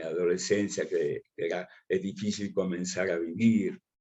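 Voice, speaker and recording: A man talks at a fairly slow pace. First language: Russian and Ukrainian, forgotten (speaking Spanish). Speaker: writer and journalist. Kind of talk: interview. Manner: halting, many fillers.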